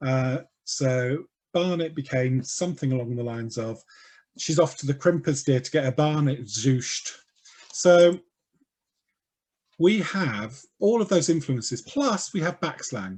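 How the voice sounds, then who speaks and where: Somewhat breathy and fairly high in pitch, a man speaks at a fairly slow pace with lively intonation and long, frequent pauses. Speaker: talk speaker on LGBT history. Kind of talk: online talk. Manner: animated.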